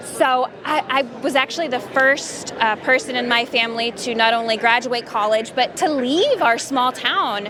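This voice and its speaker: With hardly any pauses, a woman talks at a high pitch with ordinary pitch variation over noticeable background noise. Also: moderate pace. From Texas, Paris. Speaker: voice actress. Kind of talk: interview. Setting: convention booth.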